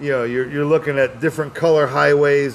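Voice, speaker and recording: Here a man is speaking. Noticeable background noise runs behind him. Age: 60s. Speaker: podcast host and stand-up comedian. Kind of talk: casual chat. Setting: live show broadcast.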